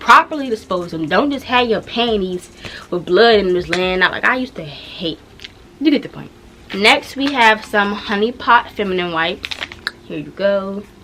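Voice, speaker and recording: Speaking at a medium pitch with lively intonation, a woman makes big swings in loudness over noticeable background noise. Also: moderate pace. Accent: American. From Washington DC area. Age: young. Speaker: YouTuber. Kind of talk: casual talk to camera.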